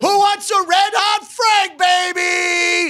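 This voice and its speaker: Shouting loudly and very slowly, the speaker uses a put-on character voice at an extremely high pitch in a strong New York accent. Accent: heavy thick New York. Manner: loud, yelling, hawking.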